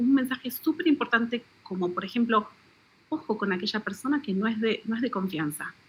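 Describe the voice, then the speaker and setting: A woman with an Argentine accent speaks at a high pitch. Noticeable background noise runs behind her. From Argentina. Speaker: author. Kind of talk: radio interview.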